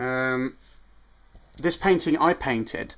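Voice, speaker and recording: Speaking with a British accent, a man uses medium pitch and ordinary pitch variation on a very clean recording with a silent background. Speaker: vlogger. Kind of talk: casual vlog. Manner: fast; hesitant, lots of ums.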